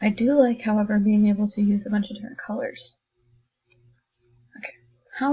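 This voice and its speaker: A soft-spoken woman's fairly high voice, dark and mellow in tone, somewhat breathy, with fairly even intonation at a fairly quick pace. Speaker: math teacher. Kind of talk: tutorial. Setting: recorded lesson video. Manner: casual.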